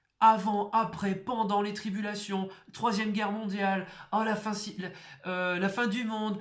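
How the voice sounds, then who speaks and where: On a very clean recording with a silent background, the speaker moves at a very slow pace. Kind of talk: exhortation sermon. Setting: at home, neighbours nearby. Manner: loud; emphatic, repetitive.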